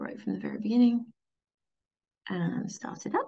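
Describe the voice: Her tone is dark and mellow with a slightly husky edge and vocal fry, at a medium pitch. The woman speaks at a moderate pace with lively intonation.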